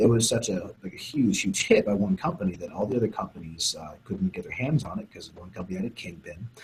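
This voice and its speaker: Over noticeable background noise, a man talks at a very fast pace. His pitch is fairly low. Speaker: sports nutrition scientist. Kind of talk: interview explanation. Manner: low volume. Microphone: too quiet, far from mic.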